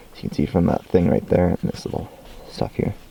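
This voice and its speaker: A man talks at a very fast pace, with noticeable background noise behind him. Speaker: hobbyist video maker. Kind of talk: tutorial-style demonstration. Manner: soft-spoken; halting.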